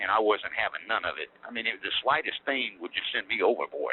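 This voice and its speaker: At a fairly quick pace, a man delivers his words. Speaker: former prison inmate. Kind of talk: interview. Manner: fast; halting.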